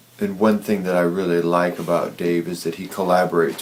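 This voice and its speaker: A man talks in a very deep, low pitch with monotone, flat intonation against noticeable background noise. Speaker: video blogger. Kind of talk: vlog monologue. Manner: slow.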